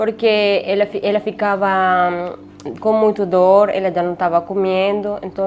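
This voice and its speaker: The speaker talks with a Spanish accent in a monotone, flat intonation. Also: woman. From Venezuela. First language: Spanish (speaking Portuguese). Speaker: refugee telling her story. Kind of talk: interview testimony. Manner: halting, many hesitations.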